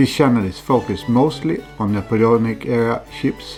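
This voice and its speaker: Over music in the background, a man with a Swedish accent talks at a moderate pace and medium pitch. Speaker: scale ship model hobbyist. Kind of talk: hobby tutorial voiceover.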